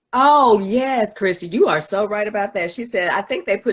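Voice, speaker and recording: A woman speaks with lively intonation. There is noticeable background noise behind her. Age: 60s. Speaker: online show host and clothing reseller. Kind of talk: casual live-stream chat.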